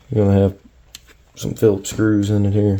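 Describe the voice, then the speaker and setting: A man speaks at a moderate pace with a fairly low pitch. His intonation is monotone and flat, with noticeable background noise behind him. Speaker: RC hobbyist. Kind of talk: tutorial.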